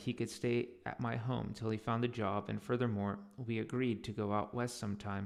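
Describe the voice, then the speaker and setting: A man speaks in a normal speaking voice at a moderate pace, medium in pitch, with ordinary pitch variation. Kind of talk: audiobook reading.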